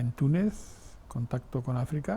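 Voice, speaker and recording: A man's somewhat breathy voice, dark and mellow in tone, at a very slow pace. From Spain, Navarre (Sangüesa). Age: 70s. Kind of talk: interview testimony. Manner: halting, with repetitions.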